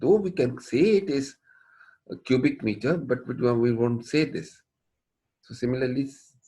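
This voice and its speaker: A man speaks at a medium pitch with a somewhat breathy voice. His pace is moderate and his intonation lively. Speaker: engineering professor. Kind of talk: lecture.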